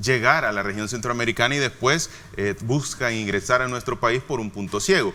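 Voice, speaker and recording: A man of medium pitch talks at a moderate pace with ordinary pitch variation while background noise is noticeable. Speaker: health official, doctor. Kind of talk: interview.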